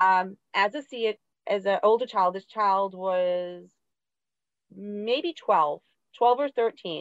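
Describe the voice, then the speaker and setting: A woman at a very slow pace with long, frequent pauses, medium pitch and ordinary pitch variation, in a dry, close sound with no echo. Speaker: special education teacher. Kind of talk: interview. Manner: loud.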